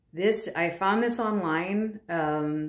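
Audible room echo surrounds a woman's lively intonation against a quiet background. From Hawaii. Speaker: content creator. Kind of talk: casual chat. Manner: amused, prone to laughing. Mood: amused, lighthearted. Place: home room. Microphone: phone near.

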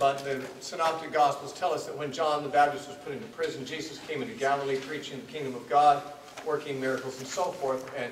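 A man's fairly quick speech carries audible room echo along with light noise in the background. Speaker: teacher. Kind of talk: lecture. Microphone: podium.

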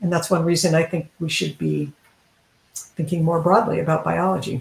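The intonation stays fairly even, with vocal fry at a moderate pace. Room echo is audible. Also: woman, low pitch for a woman.

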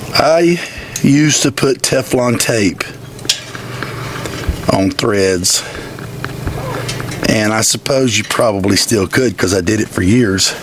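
Against noticeable background noise, a man talks at a very slow pace with long, frequent pauses and lively intonation, the sound dry with no echo. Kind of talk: casual tutorial commentary. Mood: jokey, self-deprecating. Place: farm machine.

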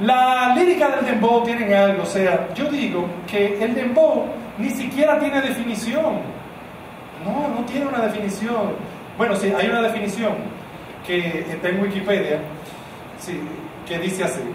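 A man speaks with a Dominican accent. Audible room echo and noticeable background noise surround his voice. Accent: Dominican Spanish (Caribbean). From Dominican Republic. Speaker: stand-up comedian. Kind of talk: stand-up comedy routine. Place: stage.

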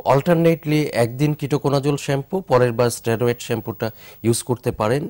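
A man talks with ordinary pitch variation, and the background is quiet. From Bangladesh. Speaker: doctor; guest. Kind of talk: live TV phone-in advice. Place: studio.

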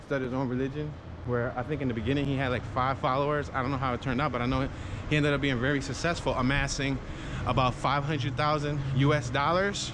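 With noticeable background noise behind him, a man speaks in a Philadelphia accent. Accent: Philadelphia urban American. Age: 30s. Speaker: YouTuber giving walking tours. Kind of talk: walking tour narration. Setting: outdoors walking on city streets. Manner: casual, conversational. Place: street. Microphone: phone near.

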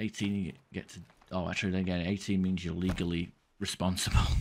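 A very deep, low male voice at a fairly quick pace. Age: 30s. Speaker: gaming streamer. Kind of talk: gameplay commentary. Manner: casual, halting with fillers.

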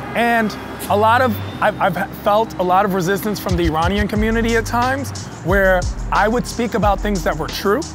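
Clear music sits in the background of a dry recording with no echo as a man with a high pitch speaks at a fairly quick pace. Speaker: comedian guest. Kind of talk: interview answer. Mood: reflective, earnest. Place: street.

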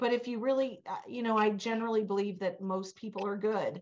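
A woman talking at a fairly quick pace. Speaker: cannabis business founder; talk show guest. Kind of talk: panel discussion. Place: office. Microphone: webcam.

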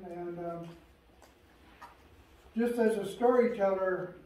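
With an American accent, a man speaks at a fairly slow pace and a high pitch. Room echo is audible. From Western Washington, Chehalis reservation. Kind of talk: oral history talk to a live audience. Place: hall. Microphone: camera far.

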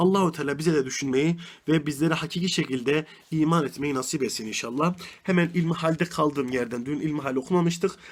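Pitch rises and falls in an ordinary way. The delivery is fairly quick. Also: man, fairly high pitch for a man. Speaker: religious teacher. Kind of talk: religious lesson. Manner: fast.

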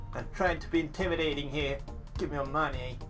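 A man puts on a whiny character voice at a fairly high pitch and a very fast pace. Loud music plays in the background. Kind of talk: comic overacting. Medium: game stream. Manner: pushy, whiny, trying to sound tough.

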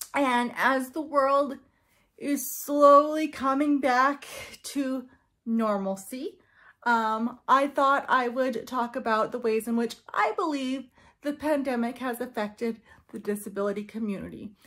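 With a bright, sharp tone and a high pitch, a woman speaks at a fairly slow pace with ordinary pitch variation against a quiet background. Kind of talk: casual vlog chat. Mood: earnest, slightly nervous. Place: home room. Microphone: phone near.

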